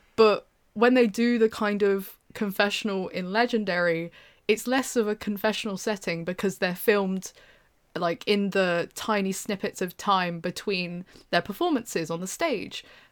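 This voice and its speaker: Speaking with a British accent, a woman has a medium pitch. Her pace is moderate. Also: ordinary pitch variation. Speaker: university student. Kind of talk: casual chat. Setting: online recording.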